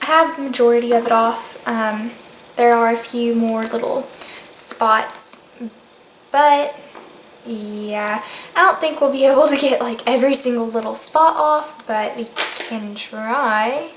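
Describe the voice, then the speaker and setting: In a Southern US accent, a woman speaks at a fairly slow pace and high pitch with ordinary pitch variation. Long, frequent pauses break up her speech amid audible room echo and noticeable background noise. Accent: US South. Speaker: beauty vlogger. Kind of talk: tutorial.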